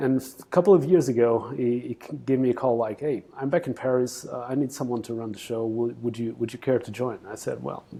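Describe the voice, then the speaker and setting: At a moderate pace, a man speaks at medium pitch with fairly even intonation and a dark, mellow tone. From Portugal. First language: Portuguese. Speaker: executive recruitment CEO. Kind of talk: interview.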